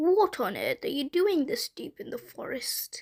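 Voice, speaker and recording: A woman adopts a put-on character voice pitched extremely high, speaking at a moderate pace. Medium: read story. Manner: sly, falsely sweet.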